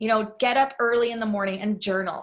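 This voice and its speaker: Fairly high in pitch, a woman's voice has a bright, sharp tone and fairly even intonation. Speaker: online money mindset coach. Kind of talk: online workshop lesson.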